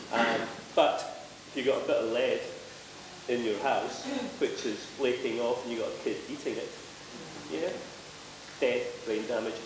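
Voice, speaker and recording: A man with a Scottish accent, long and frequent pauses, noticeable background noise and audible room echo. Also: moderate pace. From Scotland. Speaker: panelist. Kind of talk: panel discussion. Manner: loud; casual, swearing. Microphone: no microphone at first.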